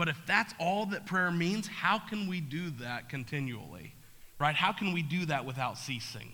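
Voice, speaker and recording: A man with a high pitch speaks in a bright, sharp tone with lively intonation. He keeps a moderate pace, and audible room echo surrounds him. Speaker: pastor. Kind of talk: sermon. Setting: church.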